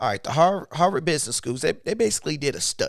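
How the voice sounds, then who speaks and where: Fairly high-pitched male voice with vocal fry and very wide pitch swings, on a very clean recording with a silent background. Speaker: YouTuber and motivational speaker. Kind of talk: live stream talk. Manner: uneven pitch.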